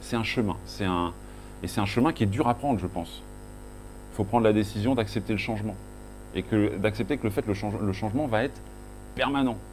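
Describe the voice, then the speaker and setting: A man with a Breton accent at a fairly quick pace, with long, frequent pauses and audible room echo. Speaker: conference speaker, agile coach. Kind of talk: conference talk. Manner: halting, many self-corrections and fillers.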